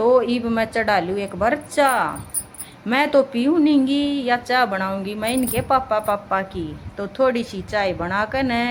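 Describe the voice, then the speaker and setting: This woman speaks in a Haryanvi accent at a fairly high pitch, with hardly any pauses. Noticeable background noise runs underneath. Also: ordinary pitch variation. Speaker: housewife. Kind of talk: casual daily vlog narration.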